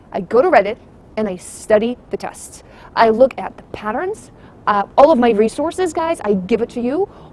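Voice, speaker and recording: A woman's animated voice, fairly high in pitch, with very wide pitch swings, big swings in loudness and a moderate pace over noticeable background noise. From abroad, immigrant to the US. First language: not English. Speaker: private test-prep tutor. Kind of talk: casual vlog commentary.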